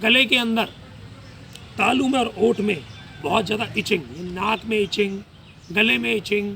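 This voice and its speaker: A man with a high pitch speaks in a raised, projected voice with ordinary pitch variation. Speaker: ayurvedic doctor. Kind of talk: health talk / lecture. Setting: live session.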